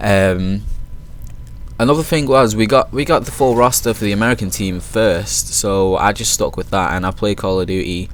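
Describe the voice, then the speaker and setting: This man has a British accent and a fairly low pitch. He talks at a moderate pace. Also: lively intonation. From Manchester, northern England. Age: 20s. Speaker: gaming YouTuber and team founder. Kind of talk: casual video intro over gameplay.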